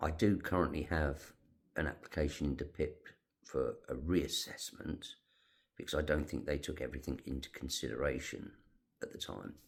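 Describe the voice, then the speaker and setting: The speaker uses a British accent and keeps a moderate pace. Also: man. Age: 60s. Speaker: retired navy veteran with emphysema. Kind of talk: personal vlog.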